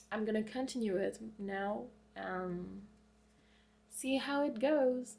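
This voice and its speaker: Speaking with a non-native accent, a woman talks at a very slow pace with long, frequent pauses. Her fairly high voice shows ordinary pitch variation over audible room echo. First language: not English. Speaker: book vlogger. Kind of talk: casual vlog monologue. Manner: casual, hesitant at times.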